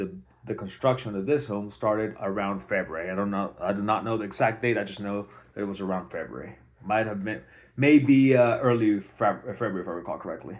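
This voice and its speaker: Speaking with a non-native accent, a man uses a fairly low voice with ordinary pitch variation. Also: fairly quick pace. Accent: foreign, non-native English. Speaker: homeowner. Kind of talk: personal video documentation. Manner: halting, many fillers. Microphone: phone mic, no external mic.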